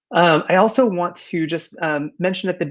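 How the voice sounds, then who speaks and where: A man talks with a Californian accent at a moderate pace. His pitch varies in an ordinary way against a quiet background. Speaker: company founder and conference speaker. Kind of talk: conference presentation. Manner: many filler words (uh, um).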